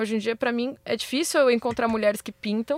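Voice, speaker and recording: Speaking at a very fast pace, a woman with fairly high pitch and fairly even intonation is heard in a dry, close sound with no echo on a very clean recording with a silent background. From Brazil, São Paulo periphery. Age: 20s. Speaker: visual artist. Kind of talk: casual chat. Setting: studio.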